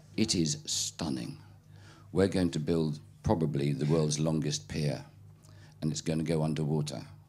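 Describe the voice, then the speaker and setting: In a British accent, a man talks at a moderate pace. His voice is very deep and low, with a dark, mellow tone. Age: 60s. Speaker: keynote speaker. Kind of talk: talk with audience Q&A. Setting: stage with audience. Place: tent. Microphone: handheld.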